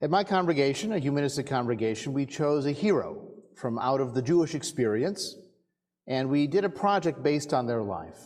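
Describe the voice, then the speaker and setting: Against a quiet background, a man with a normal speaking voice talks at a fairly quick pace. His pitch is fairly high and his intonation lively. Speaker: rabbi giving a sermon. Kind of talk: sermon to a congregation.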